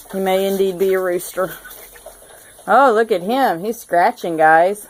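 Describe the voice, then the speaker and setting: A woman's medium-pitched voice with a Southern US accent, at a fairly slow pace with ordinary pitch variation, over noticeable background noise. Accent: Southern US (South Georgia). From US South, South Georgia. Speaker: homesteader, DIY video maker. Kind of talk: casual show-and-tell tutorial. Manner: casual, hesitant with fillers.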